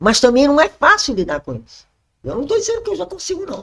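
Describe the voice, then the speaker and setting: A woman's fairly high voice with vocal fry and very wide pitch swings, at a fairly quick pace. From Brazil, Rio de Janeiro (Zona Sul). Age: 60s. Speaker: church member sharing testimony. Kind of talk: testimony.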